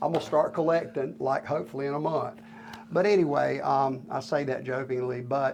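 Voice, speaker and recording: A man speaks with a Southern US accent. His pace is moderate. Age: 60s. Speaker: retired sawmill owner. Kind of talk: interview. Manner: halting, many fillers.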